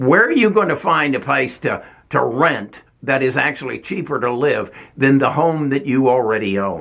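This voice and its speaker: A man with vocal fry and a fairly high pitch speaks with lively intonation. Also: moderate pace. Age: 70s. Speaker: retired investing YouTuber. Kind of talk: casual commentary video. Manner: halting, many repeats and fillers.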